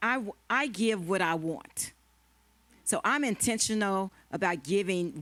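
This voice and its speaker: A woman in a plain, everyday voice speaks at a fairly slow pace with medium pitch, lively intonation and very even loudness. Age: 60s. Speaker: panelist at a women's marriage conference. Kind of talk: panel discussion.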